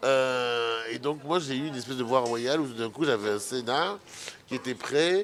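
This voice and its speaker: Over noticeable background noise, a man with a medium pitch talks at a fairly slow pace. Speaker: filmmaker, anti-fatphobia activist. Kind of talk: radio interview.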